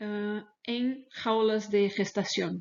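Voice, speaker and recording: A woman with a fairly high voice and a Portuguese accent. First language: Portuguese (speaking Spanish). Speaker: animal welfare researcher. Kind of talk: lecture. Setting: webinar video call. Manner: halting.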